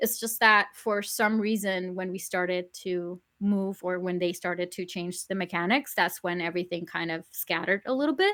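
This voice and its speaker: Delivered in a Spanish accent, the speech moves at a moderate pace with hardly any pauses. The tone is bright and sharp, the intonation fairly even. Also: woman, medium pitch for a woman, very clean recording, silent background. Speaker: YouTuber, podcast guest. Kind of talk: casual chat.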